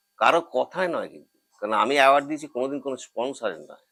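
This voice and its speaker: Here a man talks with a fairly low pitch. His tone comes across bright and sharp. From Howrah, West Bengal, India. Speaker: actor. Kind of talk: life story interview.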